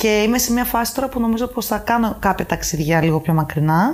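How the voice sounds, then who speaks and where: Here is a woman with a plain, everyday voice at a fairly high pitch. She talks at a fairly quick pace with lively intonation. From Greece, Athens and Paros. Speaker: expat office worker. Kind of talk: casual chat.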